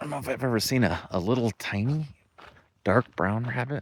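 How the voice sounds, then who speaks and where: The sound is dry and close with no echo as a man at medium pitch speaks at a fairly quick pace with ordinary pitch variation. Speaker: off-road travel vlogger. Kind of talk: casual vlog narration. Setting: outdoors.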